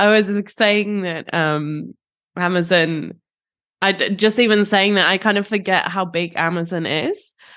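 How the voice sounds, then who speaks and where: Speaking at a fairly slow pace, a woman with a British accent uses a medium pitch and fairly even intonation. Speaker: podcast co-host. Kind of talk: casual chat.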